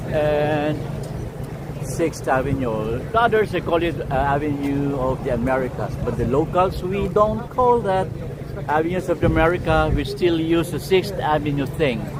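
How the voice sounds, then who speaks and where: Pitched fairly high, a man talks at a moderate pace with lively intonation, while audible room echo and noticeable background noise surround him. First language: not English. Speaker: livestream walking tour host. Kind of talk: live walking vlog with chat shout-outs. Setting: outdoors on city streets. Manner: casual, halting with fillers.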